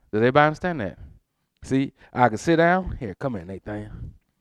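Against a quiet background, a man with an American accent talks at a very fast pace with lively intonation. The sound is dry and close, with no echo. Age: 50s. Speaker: pastor. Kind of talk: sermon. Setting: church.

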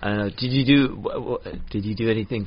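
A man talks with lively intonation while noticeable background noise fills the clip. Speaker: podcast host and comedian. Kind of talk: casual chat.

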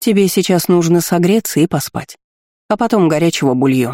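Soft-spoken and in a put-on character voice, a man talks at a high pitch and a fairly quick pace with lively intonation, in a dry, close sound with no echo. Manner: soft, warm, caring.

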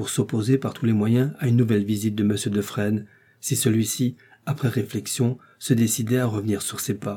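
An unforced reading voice, intonation fairly even

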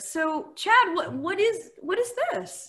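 A woman's voice is raised and projected. Her tone is bright and sharp. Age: 40s. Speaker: podcast host. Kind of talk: casual comedic chat. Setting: live stream.

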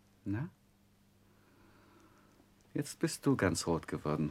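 At a slow pace, a put-on character voice with a slightly husky edge makes big pitch swings. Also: man, low pitch for a man.

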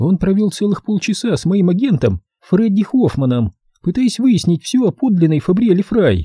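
Lively intonation and a quiet background, with reading aloud in a natural voice

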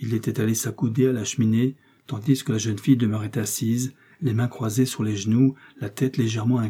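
Intonation here is fairly even. It is a natural reading voice.

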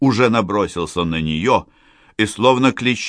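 The speaker reads aloud in a natural voice. Intonation rises and falls in a lively way.

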